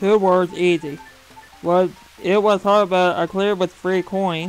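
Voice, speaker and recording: With music in the background, someone talks at a fairly slow pace. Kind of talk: casual gameplay commentary. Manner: casual, hesitant.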